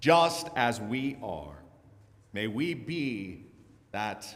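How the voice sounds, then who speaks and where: This man's voice has vocal fry and very wide pitch swings. Audible room echo surrounds it. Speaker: minister. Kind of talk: worship service leading.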